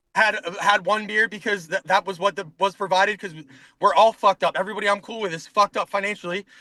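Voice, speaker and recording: In a raised, projected voice, a man with a high pitch speaks at a very fast pace with a bright, sharp tone. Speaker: corrections officer. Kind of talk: casual chat. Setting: in a car. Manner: animated.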